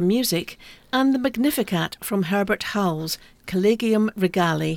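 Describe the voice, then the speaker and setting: With an unremarkable speaking voice pitched fairly high, a woman talks at a moderate pace with lively intonation, in a dry, close sound with no echo. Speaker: concert calendar co-presenter. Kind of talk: radio announcer reading concert listings. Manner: clear, brisk, polished, even-paced broadcast delivery.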